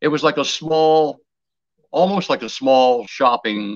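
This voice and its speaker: With an American accent, a man talks in very wide pitch swings. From Baltimore, Maryland, US. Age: 80s+. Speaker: retired TV and radio broadcaster. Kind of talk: interview reminiscence.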